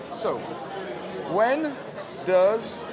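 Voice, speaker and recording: A man speaks in a French accent with very wide pitch swings. Audible room echo and crowd noise fill the background. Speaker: game publisher representative. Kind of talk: game rules explanation. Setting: game fair. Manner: halting.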